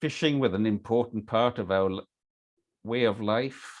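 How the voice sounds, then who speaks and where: With a Hebridean accent, a man speaks at a fairly slow pace using lively intonation. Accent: Scottish Hebridean. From Scotland, Isle of Lewis, Outer Hebrides. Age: 60s. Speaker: workshop leader. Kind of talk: online workshop talk.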